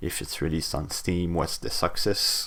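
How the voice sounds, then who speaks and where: A man speaks with a French Canadian accent. His pitch variation is ordinary. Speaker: hobbyist game developer. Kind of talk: casual devlog talk to camera. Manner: rambling, hesitant with fillers.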